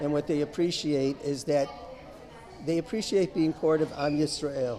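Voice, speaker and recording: A man with an American accent speaks at a fairly high pitch with ordinary pitch variation. Music plays behind him, and the room echo is audible. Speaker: retired chemistry professor. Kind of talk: interview, fundraising appeal.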